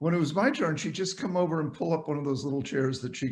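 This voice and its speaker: A man's somewhat breathy voice with an American accent. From New England, Cape Cod, Massachusetts. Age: 70s. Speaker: psychiatrist and author. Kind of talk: interview storytelling.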